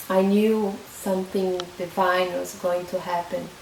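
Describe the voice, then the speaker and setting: Against noticeable background noise and audible room echo, a woman speaks at a very slow pace and medium pitch with a Portuguese accent. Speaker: vlogger. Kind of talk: personal testimony. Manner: halting, many fillers and restarts.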